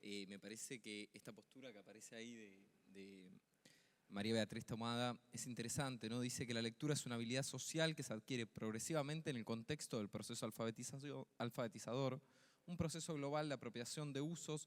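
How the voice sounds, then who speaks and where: Using a fairly quick pace, a man talks at a medium pitch with ordinary pitch variation. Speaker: secondary school teacher. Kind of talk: conference talk. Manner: fast; hesitant, many fillers.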